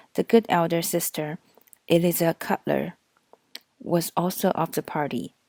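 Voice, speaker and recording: In a non-native accent, a dark, mellow voice speaks at a moderate pace, recorded dry and close with no echo on a very clean track with a silent background. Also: woman. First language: not English. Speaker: audiobook reader. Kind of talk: reading aloud.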